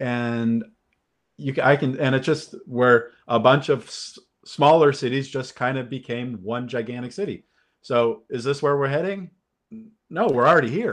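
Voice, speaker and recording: Speaking at a moderate pace, a man with a Californian accent holds a medium pitch. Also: ordinary pitch variation. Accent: Californian American English. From Los Angeles. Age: 50s. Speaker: film critic and podcaster. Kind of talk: casual chat.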